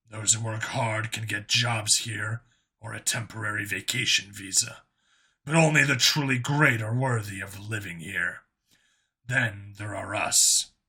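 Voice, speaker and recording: A man's raspy, put-on character voice, medium in pitch, at a moderate pace. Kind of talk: audiobook character voice. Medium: read story. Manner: formal, measured, devoted.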